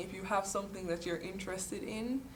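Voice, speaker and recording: A woman's medium-pitched voice at a moderate pace, flat and monotone, with audible room echo and noticeable background noise. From Jamaica, Kingston. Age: 20s. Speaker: engineering student. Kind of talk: interview testimony. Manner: hesitant, with fillers.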